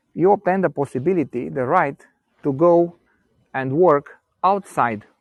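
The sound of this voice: At a fairly slow pace, the speech shows ordinary pitch variation. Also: man.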